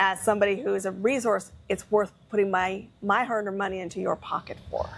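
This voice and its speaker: A woman with medium pitch and ordinary pitch variation speaks in a plain, everyday voice. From Canada. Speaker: business strategist. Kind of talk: interview.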